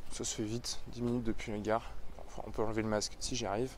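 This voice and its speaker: His intonation is flat and monotone. The man's pitch sits in the medium range. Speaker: miniature painting youtuber. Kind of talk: vlog. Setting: outdoors, walking.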